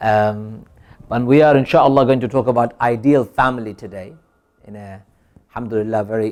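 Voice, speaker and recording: Talking at a fairly quick pace with long, frequent pauses, a man uses a medium pitch and fairly even intonation while his loudness swings widely. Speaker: imam. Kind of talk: sermon. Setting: small community gathering.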